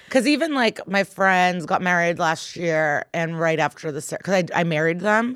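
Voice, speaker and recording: A woman's unremarkable speaking voice, fairly low, with lively intonation, moderate pace and hardly any pauses. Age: 30s. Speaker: comedian. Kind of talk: casual chat. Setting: studio.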